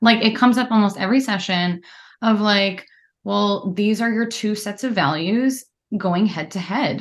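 A woman at a medium pitch and moderate pace, with ordinary pitch variation over a quiet background. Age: 30s. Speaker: therapist. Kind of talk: casual interview chat. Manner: articulate.

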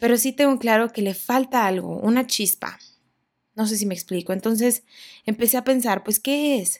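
A woman's plain, everyday voice, fairly high in pitch, at a moderate pace. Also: ordinary pitch variation. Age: 20s. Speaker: podcast host. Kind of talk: personal monologue. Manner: casual, conversational.

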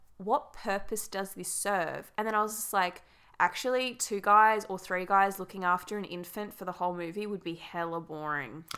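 In an Australian accent, a woman speaks at a fairly quick pace with medium pitch and a bright, sharp tone, on a very clean recording with a silent background. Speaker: podcast host. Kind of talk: casual chat.

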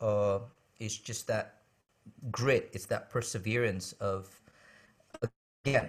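A man with an Indonesian-American accent speaks very slowly in a fairly low, somewhat breathy voice, with long, frequent pauses. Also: fairly even intonation. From Indonesia, moved to the US as a boy. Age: 40s. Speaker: worship pastor and songwriter. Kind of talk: interview conversation.

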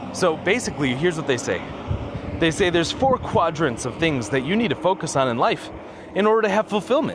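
Over noticeable background noise, a man talks in a high pitch. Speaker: podcaster. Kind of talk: casual monologue. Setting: outdoors, walking. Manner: halting.

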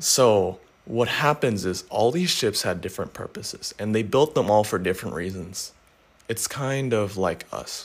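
A man's plain, everyday voice, fairly low in pitch, with lively intonation at a moderate pace. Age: young. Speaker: motivational podcaster. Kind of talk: solo motivational talk. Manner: casual.

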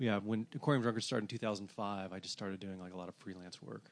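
A man with an American accent speaks in a plain, everyday voice, fairly low in pitch, with fairly even intonation. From US South, Atlanta, Georgia. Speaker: music blogger and record label owner. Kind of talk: casual interview.

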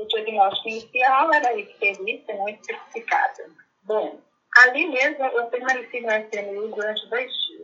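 A woman speaks at a high pitch with a calm tone. Her intonation is lively. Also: moderate pace. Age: 60s. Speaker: cancer patient. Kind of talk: personal testimony. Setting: phone call.

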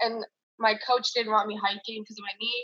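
A woman with an American accent, a plain, everyday voice, fairly high pitch and a fairly quick pace. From Salt Lake City, Utah, then Chatham, New Jersey. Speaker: college basketball player. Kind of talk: casual interview.

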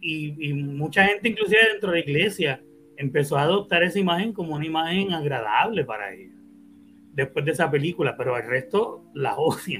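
A man in a normal speaking voice talks at a fairly quick pace and fairly high pitch, with lively intonation. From Puerto Rico. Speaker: podcast host. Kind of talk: casual chat. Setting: live stream.

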